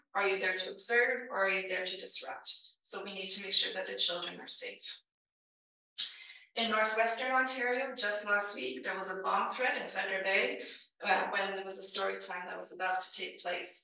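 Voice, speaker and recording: A woman at a moderate pace, with audible room echo. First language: not English. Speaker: librarian conference speaker. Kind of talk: conference presentation.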